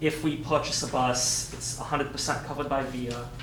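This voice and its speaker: Amid noticeable background noise and audible room echo, a man talks in a monotone, flat voice. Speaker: staff member presenting budget to board. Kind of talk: board meeting presentation. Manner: fast.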